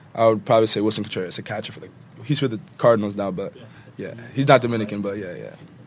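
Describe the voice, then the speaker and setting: Fairly even intonation from a man with an American accent. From New York City (the Bronx). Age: young. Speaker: college baseball player. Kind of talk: casual chat.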